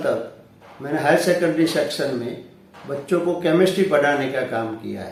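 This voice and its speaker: With lively intonation and a fairly high pitch, a man speaks over noticeable background noise in a room with audible echo. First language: Gujarati (speaking Hindi). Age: 60s. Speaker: retired science teacher and motivational speaker. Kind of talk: self-introduction monologue.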